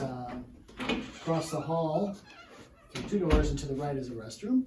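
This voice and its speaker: Lively intonation at a moderate pace, with audible room echo and noticeable background noise. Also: man. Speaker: physical therapist. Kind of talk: workshop presentation. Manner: sometimes softer.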